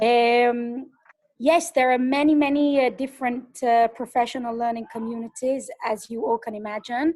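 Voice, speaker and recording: Spoken at a moderate pace with fairly even intonation, in an English accent. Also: woman, high pitch for a woman. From England. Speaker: pedagogical advisor. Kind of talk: webinar answer.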